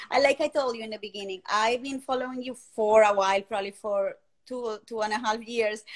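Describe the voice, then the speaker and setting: On a very clean recording with a silent background, a woman with a Colombian accent speaks at a fairly quick pace in a fairly high pitch. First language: Spanish. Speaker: fertility community host. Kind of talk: live interview chat. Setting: livestream.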